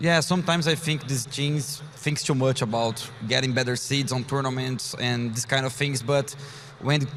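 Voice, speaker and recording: A man talks with a Portuguese accent and fairly even intonation. His pitch is fairly high, and there is noticeable background noise. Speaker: professional esports player. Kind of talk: interview.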